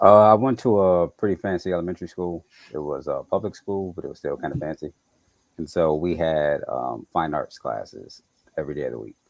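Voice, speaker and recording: In a slight Southern US accent, the speaker talks at a fairly quick pace with a relaxed tone, the sound dry and close with no echo. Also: man. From Chicago, US. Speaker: architect. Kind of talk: interview. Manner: casual, relaxed.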